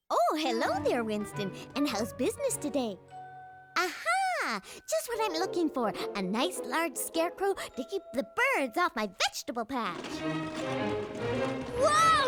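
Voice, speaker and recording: Loud music plays behind a woman doing a high-pitched cartoonish character voice. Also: moderate pace. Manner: bright, chatty.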